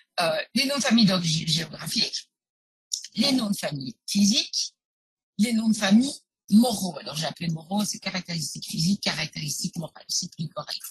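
In an unremarkable speaking voice, a woman talks at a fairly quick pace and medium pitch with lively intonation, the sound dry with no echo. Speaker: genealogist and historian; webinar presenter. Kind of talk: webinar presentation. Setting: live online webinar. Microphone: video call.

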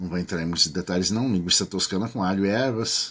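In a very clean recording with a silent background, a man with a Brazilian accent speaks at a very deep, low pitch with ordinary pitch variation. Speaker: promotions YouTuber. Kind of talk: upbeat infomercial-style promo pitch, reading rules aloud and urging viewers to enter. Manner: animated, enthusiastic, salesy; casual, friendly, chatty.

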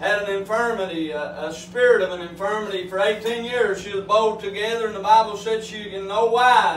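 With fairly even intonation and a high pitch, a man speaks amid light background noise and audible room echo. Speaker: coal miner lay preacher. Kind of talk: sermon.

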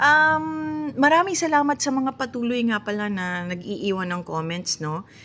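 A woman's voice with very wide pitch swings at a moderate pace, over light background noise. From Philippines. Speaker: vlogger. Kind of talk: casual vlog talk. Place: car.

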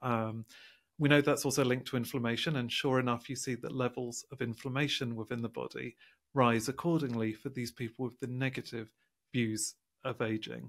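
A man at a fairly quick pace, his intonation fairly even, against a quiet background. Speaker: science author. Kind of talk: interview. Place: home room. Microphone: studio mic.

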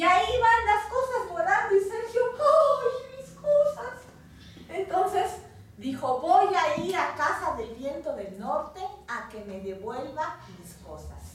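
At an extremely high pitch and very slow pace, a woman speaks with big swings in loudness, strong room echo and light background noise. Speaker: storyteller. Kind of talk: live oral storytelling for children. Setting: live audience. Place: home room. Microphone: camera far.

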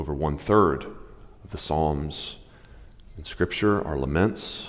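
A man speaks at a very deep, low pitch with ordinary pitch variation. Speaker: preacher. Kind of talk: sermon. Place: stage.

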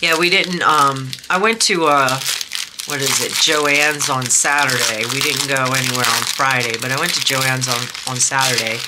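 Over loud background noise, a woman talks at a moderate pace with ordinary pitch variation. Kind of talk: casual unboxing chat. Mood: relaxed, chatty.

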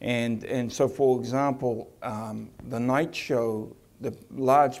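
A man speaks with a New Zealand accent at a medium pitch, his dark, mellow tone held in a monotone, flat intonation. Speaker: attraction CEO; presenter. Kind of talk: conference presentation. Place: hall.

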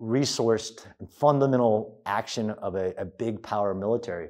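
A man speaks in a dark, mellow tone against a quiet background. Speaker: guest lecturer. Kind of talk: lecture. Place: hall. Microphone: lapel.

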